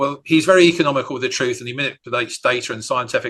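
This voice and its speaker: Against a quiet background, the speech moves at a very fast pace with ordinary pitch variation. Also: man. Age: 60s. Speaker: campaigner and mayoral candidate. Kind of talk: radio interview. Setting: live radio. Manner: halting with fillers.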